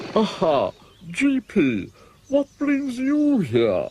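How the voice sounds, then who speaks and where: A man puts on a character voice at an extremely high pitch. He speaks at a very slow pace. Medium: short film. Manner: showy, mocking.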